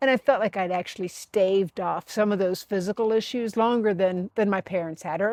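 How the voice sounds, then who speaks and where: With an unremarkable speaking voice, a woman talks in a medium pitch with ordinary pitch variation and hardly any pauses, recorded dry and close with no echo against a quiet background. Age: 60s. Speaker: life design vlogger. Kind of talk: personal vlog monologue. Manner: conversational, with many fillers and repetitions.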